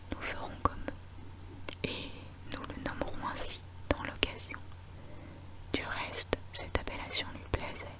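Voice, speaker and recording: Someone whispers in a calm tone at a very slow pace. Noticeable background noise runs underneath. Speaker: ASMR reader. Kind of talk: whispered book reading for sleep (ASMR). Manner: whispered, soft, calm.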